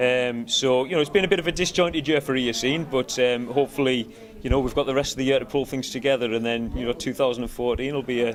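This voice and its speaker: Very fast speech in a Cumbrian accent over noticeable background noise. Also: man. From Cumbria, northern England. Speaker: rock band musician. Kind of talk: casual interview. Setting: music festival. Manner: hesitant, many fillers.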